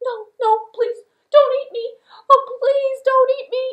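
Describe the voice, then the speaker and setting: A woman's cartoonish character voice, raised and projected. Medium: puppet. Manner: pleading.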